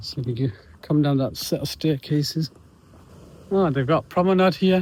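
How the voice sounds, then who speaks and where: A man's fairly high, somewhat breathy voice with a British accent, a moderate pace and ordinary pitch variation. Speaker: travel vlogger. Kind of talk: travel vlog narration. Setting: outdoors.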